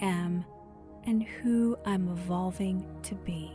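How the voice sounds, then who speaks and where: Music plays in the background as a woman speaks in a calm tone. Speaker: meditation guide. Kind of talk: guided meditation. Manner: slow, calm.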